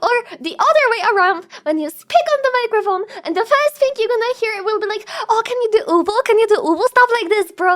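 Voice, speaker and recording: A woman with an extremely high pitch and lively intonation speaks at a fairly quick pace against noticeable background noise. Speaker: vtuber streamer. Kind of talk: reaction commentary. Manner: animated.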